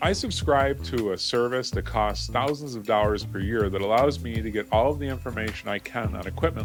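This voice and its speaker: A man with a fairly low pitch at a fairly quick pace, with music in the background. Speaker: print and graphics business YouTuber. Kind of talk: casual talk to camera.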